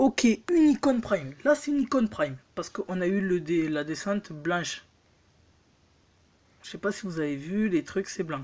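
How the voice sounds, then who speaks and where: With very wide pitch swings and big swings in loudness, a woman at a medium pitch speaks with long, frequent pauses. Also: moderate pace. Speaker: mobile gaming youtuber. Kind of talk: gameplay commentary, pack opening.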